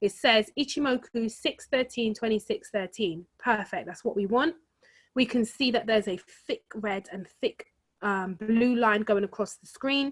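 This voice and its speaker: A woman with an ordinary speaking voice, fairly high in pitch, with ordinary pitch variation and a moderate pace. Her loudness swings widely, and the very clean recording sounds dry and close, with no echo and a silent background. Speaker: forex trading trainer. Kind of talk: tutorial.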